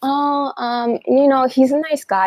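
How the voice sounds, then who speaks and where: This is a woman speaking. The recording is dry and close, with no echo. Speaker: livestream host. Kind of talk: livestream talk. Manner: fast.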